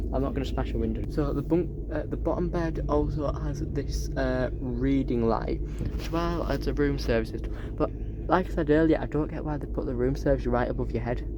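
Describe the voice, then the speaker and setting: Noticeable background noise runs beneath the speech. The pace is fairly quick. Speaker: travel vlogger. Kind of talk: casual vlog narration. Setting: on a sleeper train.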